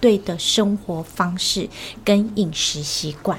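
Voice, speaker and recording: A woman speaks at a very slow pace with a medium pitch. Her pitch varies in an ordinary way. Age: 50s. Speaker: health coach's wife, former insurance agent. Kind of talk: casual interview.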